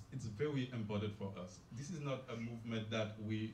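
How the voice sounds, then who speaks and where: At a moderate pace, a man speaks with a fairly low pitch and fairly even intonation. Light background noise and audible room echo are present. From Haiti. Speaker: cultural festival organizer. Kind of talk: panel discussion. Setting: stage with audience. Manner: halting. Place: hall. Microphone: camera far.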